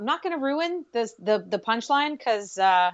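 With an American accent, a woman uses lively intonation and a normal speaking voice at a moderate pace. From Pittsburgh, Pennsylvania, US. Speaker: podcast host and social media guest. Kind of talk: casual interview.

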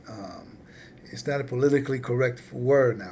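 A man with an American accent at a moderate pace, in audible room echo. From California. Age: 50s. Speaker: podcast host. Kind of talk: interview.

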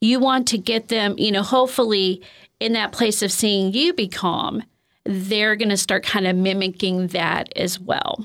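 In a very clean recording with a silent background, a woman uses a normal speaking voice at a medium pitch and a fairly slow pace, with ordinary pitch variation and very even loudness. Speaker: counselor and former teacher. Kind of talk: interview discussion.

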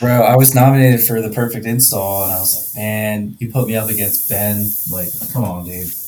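A man with a fairly low-pitched voice talks while noticeable background noise plays behind him. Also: ordinary pitch variation, fairly quick pace. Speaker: HVAC contractor. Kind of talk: casual chat.

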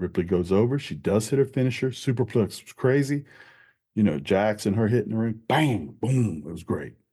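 A man's dark, mellow tone at a fairly quick pace, with lively intonation and big swings in loudness. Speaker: wrestling podcast host. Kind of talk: wrestling commentary rant, a quick-fire knee-jerk reaction review. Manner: casual, conversational, upbeat.

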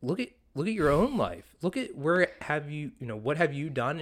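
This man talks at a fairly quick pace in a fairly high pitch, his voice making very wide pitch swings. The recording is very clean, with a silent background. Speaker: podcast co-host; fitness coach. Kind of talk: casual chat. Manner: loud.

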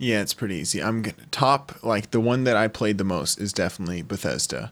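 A man with a fairly low pitch and ordinary pitch variation speaks in a normal speaking voice. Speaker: podcast co-host. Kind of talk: casual chat.

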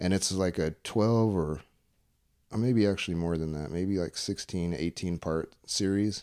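In an American accent, a man speaks with a very deep, low pitch, a dark, mellow and relaxed tone, and ordinary pitch variation. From Tucson, Arizona (Pascua Yaqui). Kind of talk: casual chat. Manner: relaxed, casual.

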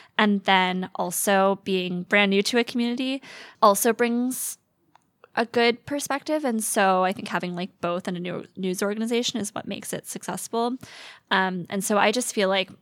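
In a very clean recording with a silent background and a dry, close sound with no echo, a woman with an American accent speaks at a medium pitch and a moderate pace with ordinary pitch variation. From US South, Metro Atlanta, Georgia. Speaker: journalist. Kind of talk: interview. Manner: hesitant with many fillers.

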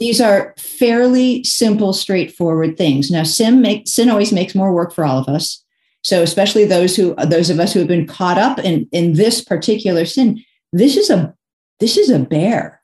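Lively intonation and a dark, mellow tone, somewhat breathy, at a moderate pace. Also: woman, medium pitch for a woman. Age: 60s. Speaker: author and speaker. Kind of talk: casual chat. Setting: video call.

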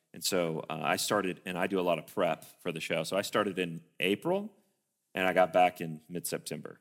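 Speaking with a Tennessee accent at a fairly quick pace, a man has a very deep, low pitch and monotone, flat intonation. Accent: Southern US (Tennessee). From US South, Tennessee (Sparta). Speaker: film assistant director and producer. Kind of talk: interview in church service.

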